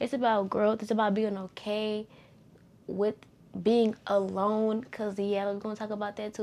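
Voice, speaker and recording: Her dark, mellow tone sits at a medium pitch as this woman speaks with monotone, flat intonation. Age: 20s. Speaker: podcast host. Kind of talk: casual solo venting monologue. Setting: sitting on her bed at home.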